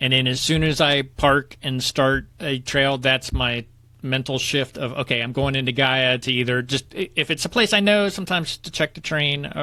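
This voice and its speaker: His tone bright and sharp, a man talks at a medium pitch and a moderate pace with ordinary pitch variation. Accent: southern Ohio. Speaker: nature photography podcast co-host. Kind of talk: casual chat.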